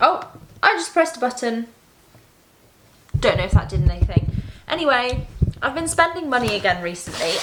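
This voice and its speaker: Over noticeable background noise, a woman with a British accent talks at a fairly quick pace in a high voice, swinging her pitch very widely and pausing long and often. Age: 20s. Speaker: doctor. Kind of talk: casual vlog talk to camera.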